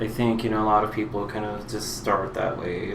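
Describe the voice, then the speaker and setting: There is noticeable background noise and audible room echo. A man talks in a monotone, flat delivery. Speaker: drag queen vlogger. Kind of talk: personal monologue vlog. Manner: halting, many fillers.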